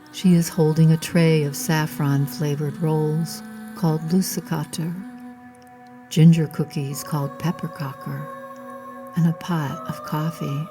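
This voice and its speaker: Music plays behind a woman whose very deep, low voice moves at a fairly slow pace with long, frequent pauses, ordinary pitch variation and a soothing, calm tone. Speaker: sleep story and meditation narrator. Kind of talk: sleep story narration. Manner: soothing, calm, slow.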